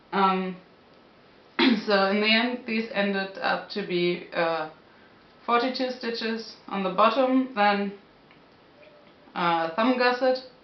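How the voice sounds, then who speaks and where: A woman with a non-native accent speaks at a very slow pace, with long, frequent pauses. Her pitch variation is ordinary, and room echo is audible. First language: not English. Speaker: knitting podcaster. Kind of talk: casual talk to camera. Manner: hesitant, searching for words. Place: home room. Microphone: camera far.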